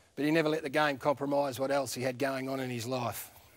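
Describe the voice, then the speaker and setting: With an Australian accent, a man talks at a fairly quick pace. His intonation is fairly even. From country Victoria, Australia. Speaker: former footballer, TV presenter. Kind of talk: eulogy.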